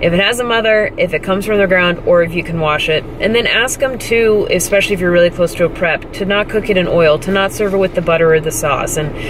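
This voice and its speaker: Over noticeable background noise, the voice races at a very fast pace with hardly any pauses, ordinary pitch variation, and a dry sound with no echo. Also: woman. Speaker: fitness competitor vlogger. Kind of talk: casual vlog chat. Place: car. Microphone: phone near.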